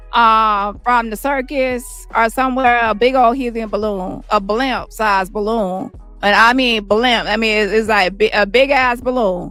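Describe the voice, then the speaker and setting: Music plays behind a woman who speaks at a fairly slow pace in an animated tone with ordinary pitch variation. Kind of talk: informal, slangy, profane. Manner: animated, expressive, casual storytelling.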